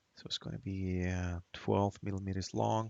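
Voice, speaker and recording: A man with a non-native accent speaks at a very deep, low pitch. His pace is moderate and his intonation fairly even. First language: not English. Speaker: hobbyist maker. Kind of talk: tutorial. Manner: halting; casual.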